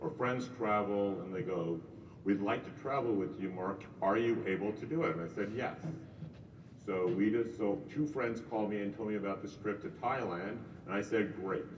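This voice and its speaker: A man talks at a moderate pace with a fairly low pitch. Room echo is audible, and background noise is noticeable. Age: 60s. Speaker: real estate agent. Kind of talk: casual chat.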